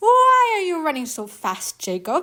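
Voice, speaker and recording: Putting on a character voice, a woman sounds squeaky and extremely high-pitched. Her pitch swings very widely at a moderate pace. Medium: read story. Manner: sweetly false.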